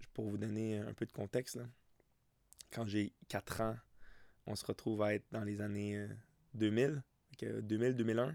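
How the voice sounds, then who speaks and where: A man with a Quebec accent speaks at a fairly slow pace, with long, frequent pauses and fairly even intonation. His pitch is fairly low, and the sound is dry and close with no echo. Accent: Québécois French. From Quebec, Montérégie (Saint-Mathias-sur-Richelieu). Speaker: soccer coach and podcast host. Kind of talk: solo podcast monologue. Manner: halting, many repetitions and fillers.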